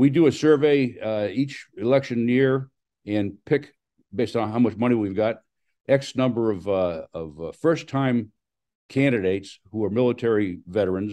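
A man's dark, mellow voice with an American accent, at a moderate pace with ordinary pitch variation, in a quiet background. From US. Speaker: war veteran and school board candidate. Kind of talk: interview. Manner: halting. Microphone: video call.

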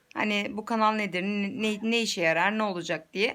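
Her tone bright and sharp, a woman with a fairly high voice talks at a moderate pace. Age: 20s. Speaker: YouTuber and mother. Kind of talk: casual vlog introduction. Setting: selfie video at home.

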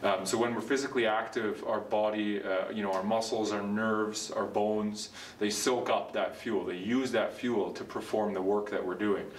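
Hardly pausing, a man talks at a moderate pace in a monotone, flat intonation with fairly low pitch. Light background noise and audible room echo are present. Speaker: physiotherapist or trainer. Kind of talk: educational explainer. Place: gym. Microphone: camera far.

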